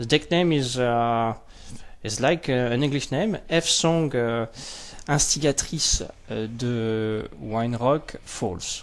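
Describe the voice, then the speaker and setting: Speaking very slowly with a French accent, a man uses a medium pitch and ordinary pitch variation. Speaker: card game youtuber. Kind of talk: unboxing commentary. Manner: halting, many fillers.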